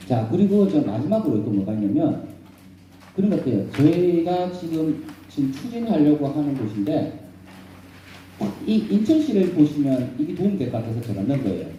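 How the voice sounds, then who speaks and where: Speaking with a Busan accent, a man uses a fairly high pitch, very wide pitch swings and an animated tone, with long, frequent pauses and audible room echo. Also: moderate pace. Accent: Gyeongsang (Busan) dialect. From South Korea, Busan. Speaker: professor and redevelopment consultant. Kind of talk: lecture. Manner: animated, rhetorical questions.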